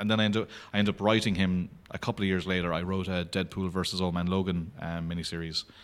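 A man with an Irish accent talks at a very fast pace in a very deep, low voice, his intonation fairly even. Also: very clean recording, silent background. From Ireland, County Clare. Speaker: comic book artist. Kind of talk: casual interview chat.

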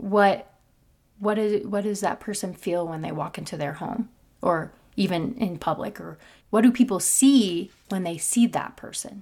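An unremarkable speaking voice with an American accent, fairly slow, with ordinary pitch variation and big swings in loudness, in a very clean recording with a silent background. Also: woman, medium pitch for a woman. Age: 20s. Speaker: singer and musician. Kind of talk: casual interview.

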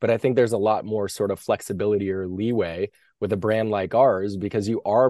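With an American accent and an ordinary speaking voice, a man talks at a fairly quick pace and fairly low pitch against a quiet background. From US. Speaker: franchise company CEO. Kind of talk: interview.

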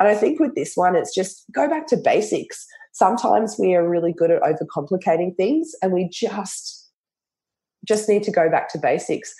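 A woman with an Australian accent talks at a moderate pace in a medium pitch, somewhat breathy. Her pitch swings very widely. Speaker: naturopath and nutritionist. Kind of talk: interview conversation.

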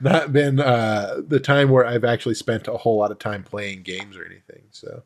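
At a fairly quick pace with hardly any pauses, a man speaks at medium pitch with ordinary pitch variation and big swings in loudness. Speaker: podcast co-host. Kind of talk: casual chat. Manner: theatrical intro style.

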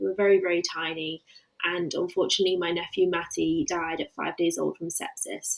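A woman speaks with an English Midlands accent. Her pace is fairly quick. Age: 20s. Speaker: grief coach. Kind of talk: interview about personal grief.

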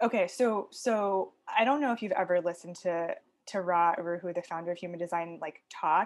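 The woman has an unremarkable speaking voice. Her pitch variation is ordinary. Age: 30s. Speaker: human design coach. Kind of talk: casual chat.

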